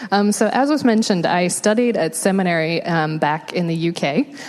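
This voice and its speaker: Over noticeable background noise, a woman with an American accent talks at a moderate pace with lively intonation and very even loudness. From England. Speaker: homelessness nonprofit worker. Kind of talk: interview testimony in church.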